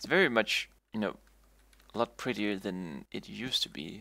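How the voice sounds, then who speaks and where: A man's fairly low voice with a bright, sharp tone, ordinary pitch variation and a moderate pace. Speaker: video game streamer. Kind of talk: live gameplay commentary. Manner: stuttering, repeating words; casual, rambling with fillers.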